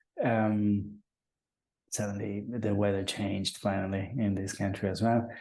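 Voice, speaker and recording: Audible room echo surrounds a man speaking at a fairly slow pace. His fairly low voice stays monotone and flat. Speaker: open source software strategist. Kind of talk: online webinar presentation. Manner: halting, many fillers.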